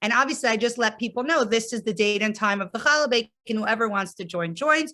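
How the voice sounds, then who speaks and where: With an American accent, a woman talks in a bright, sharp tone and ordinary pitch variation. The recording is very clean, the background silent. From US Northeast (New Jersey). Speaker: rabbi's wife and campus outreach leader. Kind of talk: lecture.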